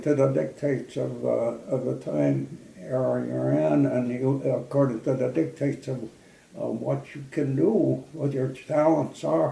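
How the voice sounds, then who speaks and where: Noticeable background noise fills the recording. A man talks at a fairly slow pace. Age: 90s. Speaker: World War II Air Force veteran. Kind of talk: interview answer. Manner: hesitant, halting.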